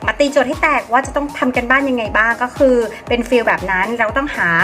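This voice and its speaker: A woman talks in a high voice while music plays behind her. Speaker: DJ and voice-over artist. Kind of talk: casual talk to camera.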